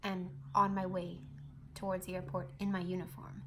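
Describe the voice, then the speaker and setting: Somewhat breathy and at medium pitch, a woman talks at a fairly quick pace. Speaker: flight attendant. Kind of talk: casual talk to camera.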